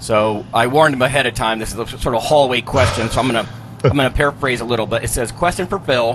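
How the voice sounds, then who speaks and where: Noticeable background noise fills the recording. The man's pitch shifts in an ordinary way. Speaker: exercise physiologist and nutritionist. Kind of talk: podcast hosting.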